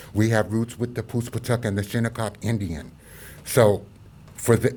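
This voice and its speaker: A man's somewhat breathy, dark and mellow voice in an American accent, with monotone, flat intonation, in a very clean recording with a silent background. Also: medium pitch for a man, moderate pace. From Long Island, New York. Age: 60s. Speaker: civil rights organization representative. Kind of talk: press conference statement.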